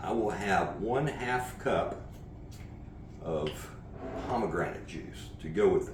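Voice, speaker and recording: Amid noticeable background noise and audible room echo, a man with an American accent speaks very slowly, leaving long, frequent pauses. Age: 60s. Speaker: horseman and martial arts coach. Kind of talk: cooking tutorial vlog. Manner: casual, conversational with filler uhs.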